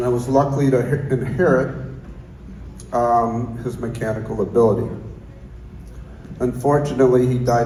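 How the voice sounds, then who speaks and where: A man talks with fairly even intonation and long, frequent pauses. Noticeable background noise and audible room echo fill the recording. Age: 60s. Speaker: guitar maker. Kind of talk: acceptance speech. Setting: stage with audience.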